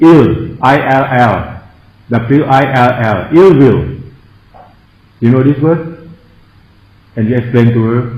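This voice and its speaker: Speaking at a very slow pace with long, frequent pauses and ordinary pitch variation, the voice carries a strong Thai accent amid noticeable background noise and audible room echo. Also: man, medium pitch for a man. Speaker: Buddhist monk and meditation teacher. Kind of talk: meditation lecture. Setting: meditation centre. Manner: halting.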